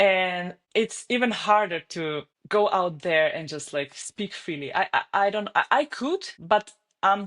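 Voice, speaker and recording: With a Slovenian accent, a woman speaks at a medium pitch and a fairly slow pace. The sound is dry and close with no echo, and her pitch varies in an ordinary way. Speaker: online fitness coach. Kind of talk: podcast interview.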